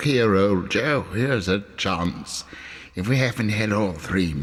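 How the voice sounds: Delivered in a natural reading voice, the speech has ordinary pitch variation.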